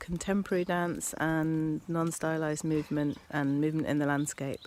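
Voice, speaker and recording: A woman in an English Midlands accent, very deep and low in pitch, with monotone, flat intonation at a fairly slow pace. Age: 40s. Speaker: dancer. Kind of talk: interview.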